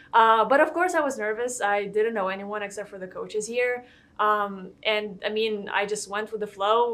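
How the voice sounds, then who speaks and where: A woman speaks with a Lithuanian accent at a fairly high pitch. Her pitch moves in an ordinary way. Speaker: college golfer. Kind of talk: interview.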